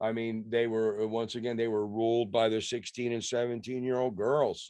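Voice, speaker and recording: The voice has a dark, mellow tone and an American accent, moving at a moderate pace. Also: man, medium pitch for a man. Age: 60s. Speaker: rock musician. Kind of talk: casual interview chat. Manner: animated.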